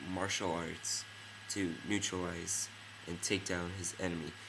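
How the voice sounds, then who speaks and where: A man speaks at a fairly slow pace in a very deep, low pitch. His intonation is monotone and flat, and audible room echo surrounds him. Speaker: film reviewer. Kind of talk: casual video review. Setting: dimly lit room at night. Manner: hesitant, many fillers.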